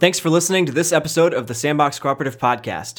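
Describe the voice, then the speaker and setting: The man talks at a very fast pace. His pitch varies in an ordinary way. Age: 20s. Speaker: podcast host. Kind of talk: casual interview; scripted intro and outro.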